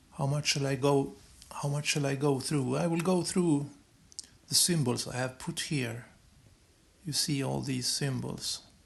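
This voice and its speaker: A man with a non-native accent speaks at a fairly slow pace, taking long, frequent pauses. His voice is somewhat breathy and his intonation fairly even. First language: not English. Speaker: esoteric astrology video maker. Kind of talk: monologue explaining symbols on screen. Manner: halting, many repetitions and restarts. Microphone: low quality recordings.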